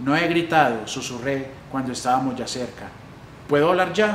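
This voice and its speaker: A man at a medium pitch for a man, with ordinary pitch variation, a moderate pace and noticeable background noise. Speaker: library staff reader. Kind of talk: literary story reading.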